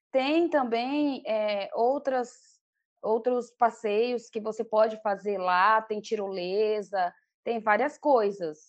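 Against a quiet background, a woman with a fairly high voice speaks very slowly, using ordinary pitch variation. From Pará, northern Brazil. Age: 40s. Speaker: traveller sharing a trip. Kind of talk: interview. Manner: halting.

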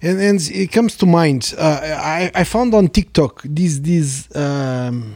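A man with a Portuguese accent speaks at a very slow pace and a fairly high pitch, his pitch swinging very widely. The sound is dry and close, with no echo. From Portugal. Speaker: podcast host, economist. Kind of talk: casual chat.

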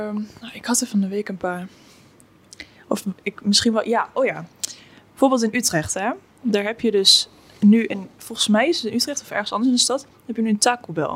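Her pitch is fairly high with ordinary variation, and she speaks at a moderate pace with long, frequent pauses. The woman's loudness swings a lot over noticeable background noise. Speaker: podcast co-host. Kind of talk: casual chat.

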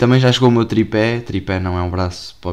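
A man speaks at a fairly low pitch in a European Portuguese accent, with ordinary pitch variation. The recording is very clean, with a silent background. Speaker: podcaster. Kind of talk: casual chat. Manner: animated.

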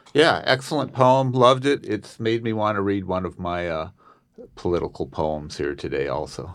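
A man's fairly low voice in a Californian accent, at a moderate pace, with very wide pitch swings. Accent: Californian American. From Southern California. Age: 60s. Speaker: student poet. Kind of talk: poetry reading. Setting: studio.

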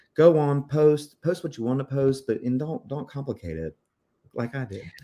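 The speaker has an American accent and a dark, mellow tone. The recording is very clean, with a silent background. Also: man. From South Carolina, US. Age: 40s. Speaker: real estate agent, veteran. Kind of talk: interview. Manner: animated.

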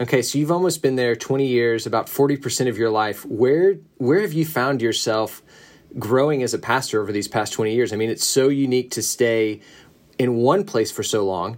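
Here a man with an American accent talks at a fairly quick pace, at a medium pitch with ordinary pitch variation. He has an unremarkable speaking voice. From US South. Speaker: pastor. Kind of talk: casual chat. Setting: video call.

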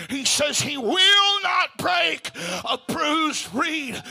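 Shouting at an extremely high pitch, a man is heard over noticeable background noise. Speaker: preacher. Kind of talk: sermon. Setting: church. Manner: urgent, fervent, exhorting.

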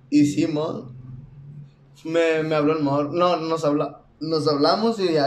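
A man's fairly high voice in a monotone, flat intonation, with noticeable background noise and audible room echo. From Mexico, Sonora. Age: 20s. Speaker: singer. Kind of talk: casual chat.

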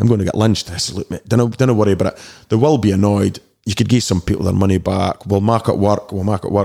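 A man with a Dundee accent, a fairly low pitch, a dark, mellow tone, fairly even intonation and a very fast pace. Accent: Scottish (Dundee). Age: 40s. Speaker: DJ and promoter. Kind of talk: casual chat. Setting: studio.

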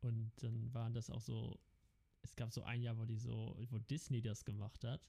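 Somewhat breathy and dark, mellow in tone, a man speaks at a moderate pace and medium pitch, his loudness very even and his intonation monotone and flat. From Netherlands, Amsterdam. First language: Dutch (speaking German). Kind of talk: casual chat.

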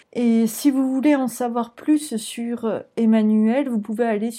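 In a very clean recording over a silent background, a woman speaks at a very slow pace, her fairly high voice somewhat breathy with a dark, mellow tone and fairly even intonation. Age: 20s. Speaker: podcast host and career coach in training. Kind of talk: interview.

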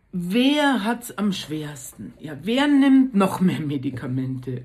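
The voice is somewhat breathy and animated in tone, with very wide pitch swings. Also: woman. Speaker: podcaster. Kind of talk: casual monologue.

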